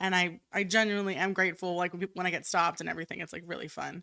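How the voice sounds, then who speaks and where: Loud and very fast, a woman speaks at a fairly low pitch in a bright, sharp tone with fairly even intonation. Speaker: chef. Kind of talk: casual chat. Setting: studio.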